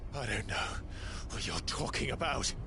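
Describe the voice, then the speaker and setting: Over loud background noise, a man does a put-on character voice at a moderate pace. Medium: machinima.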